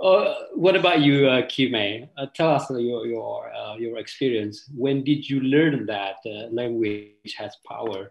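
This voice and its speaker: Speaking at a fairly slow pace with hardly any pauses, a man with an Indonesian accent keeps a medium pitch and ordinary pitch variation. His loudness swings widely. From Aceh, Indonesia. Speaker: panel moderator. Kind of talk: panel discussion. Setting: video call. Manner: halting.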